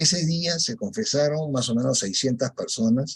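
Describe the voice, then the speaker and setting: Recorded dry and close with no echo, a man at a medium pitch talks at a fairly slow pace in a somewhat breathy voice. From Peru. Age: 70s. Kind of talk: testimony. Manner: halting.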